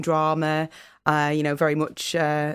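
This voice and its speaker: At a moderate pace, a woman with a northern English accent speaks in a fairly low voice. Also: very clean recording, silent background. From northern England, Fylde coast, Lancashire. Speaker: solicitor and public speaker. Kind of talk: radio interview. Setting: radio studio.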